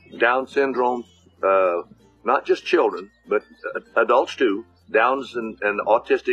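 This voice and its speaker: A man talks fairly slowly in an American accent, with noticeable background noise around him. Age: 80s+. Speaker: ranch supporter, former baseball player. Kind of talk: testimonial. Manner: halting.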